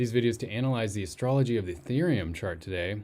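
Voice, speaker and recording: A quiet man at medium pitch, with ordinary pitch variation. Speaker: crypto astrology youtuber. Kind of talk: casual video commentary. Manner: speaking quietly.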